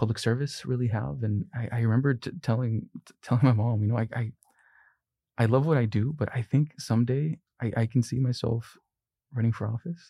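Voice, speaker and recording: A man's dark, mellow, somewhat breathy voice with fairly even intonation comes through in a dry, close sound with no echo on a very clean recording with a silent background. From Long Beach, California (born in Mexico, moved at six). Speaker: university financial aid administrator. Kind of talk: interview. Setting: studio. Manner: halting, many repeated words.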